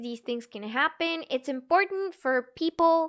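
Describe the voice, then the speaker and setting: A woman with a Bulgarian accent, animated in tone with lively intonation at a moderate pace, in a very clean recording with a silent background. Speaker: gaming streamer. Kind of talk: casual live stream chat.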